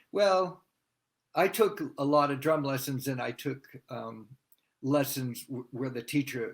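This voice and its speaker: A man speaks in a normal speaking voice with ordinary pitch variation. The recording is very clean, with a silent background. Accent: American. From US Northeast, Massachusetts. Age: 60s. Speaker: drummer. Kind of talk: interview.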